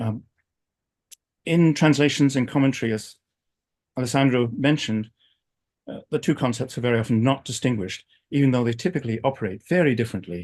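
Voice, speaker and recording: A man with an American accent at medium pitch, very fast pace with long, frequent pauses, ordinary pitch variation, against a quiet background. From England. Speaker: philosophy professor. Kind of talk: academic lecture. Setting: video call.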